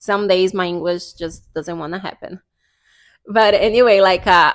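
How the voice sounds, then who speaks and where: A woman with a Portuguese accent speaks at a medium pitch and a moderate pace with fairly even intonation, though her loudness swings widely. The recording is very clean, with a silent background. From Brazil. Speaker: YouTuber. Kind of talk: casual chat. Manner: halting, many fillers.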